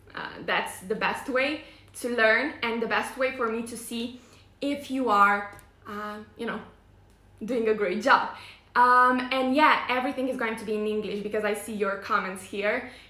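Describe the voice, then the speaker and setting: There is audible room echo as a woman speaks at a moderate pace and a fairly high pitch. Her intonation is fairly even, but her loudness swings a lot. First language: not English. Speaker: face yoga teacher. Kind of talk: live stream presentation. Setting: live online video stream. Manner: hesitant, many fillers.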